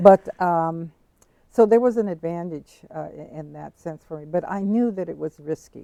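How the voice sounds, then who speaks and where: The speaker has an American accent, a dark, mellow tone and ordinary pitch variation. The pace is moderate, and the sound is dry and close with no echo. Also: woman. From San Diego, California. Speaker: visual artist and activist. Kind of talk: interview answer.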